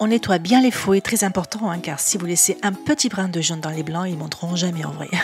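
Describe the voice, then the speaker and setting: Music plays in the background as a woman with a fairly low pitch speaks at a fairly quick pace. She has hardly any pauses and ordinary pitch variation. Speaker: cooking youtuber. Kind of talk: cooking tutorial.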